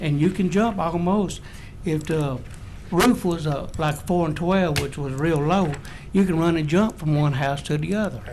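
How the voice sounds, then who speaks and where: In an American accent, a man with a high pitch speaks at a moderate pace amid audible room echo. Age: 70s. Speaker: home builder speaking at public hearing. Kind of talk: public hearing testimony. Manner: halting, many fillers.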